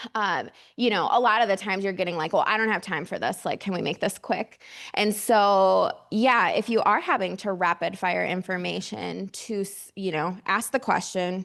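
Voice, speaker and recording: Vocal fry at a moderate pace, with fairly even intonation over a quiet background. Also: woman, medium pitch for a woman. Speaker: mental health outreach director. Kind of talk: workshop presentation with audience discussion. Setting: conference room with audience.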